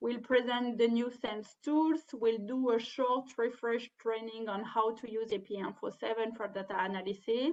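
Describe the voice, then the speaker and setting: A woman with a French accent speaks at a moderate pace and fairly high pitch, her intonation fairly even and hardly any pauses between words. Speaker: webinar trainer. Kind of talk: webinar presentation. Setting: online webinar. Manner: halting.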